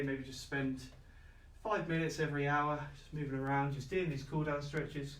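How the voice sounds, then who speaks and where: A man with a fairly high voice speaks at a moderate pace in a monotone, flat intonation. Noticeable background noise and audible room echo surround him. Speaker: fitness instructor. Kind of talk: workout class instruction. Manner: calm, relaxed.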